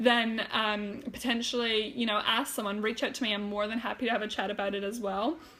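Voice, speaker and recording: Over noticeable background noise, a woman at a fairly high pitch talks at a fairly quick pace with hardly any pauses and fairly even intonation. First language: German. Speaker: health and wellness coach. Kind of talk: live stream talk. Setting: Facebook live video. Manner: hesitant, many fillers; casual, chatty.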